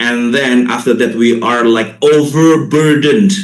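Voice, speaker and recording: Room echo is audible as a man speaks at medium pitch with lively intonation. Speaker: linguist and English teacher educator. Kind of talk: lecture.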